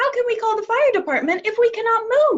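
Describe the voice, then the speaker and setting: The speaker uses a squeaky, put-on character voice. The pace is fairly quick. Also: woman. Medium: read story.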